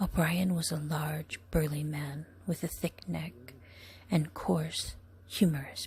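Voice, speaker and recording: Speaking at a fairly slow pace with fairly even intonation, a woman has a very deep, low pitch and vocal fry. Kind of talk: ASMR book reading. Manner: whispered, soft-spoken.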